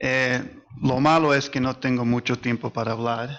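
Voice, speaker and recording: At a moderate pace, a man with medium pitch talks with fairly even intonation. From US, New Jersey, Spanish parents. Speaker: economic consultant. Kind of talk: panel discussion. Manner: halting, many fillers.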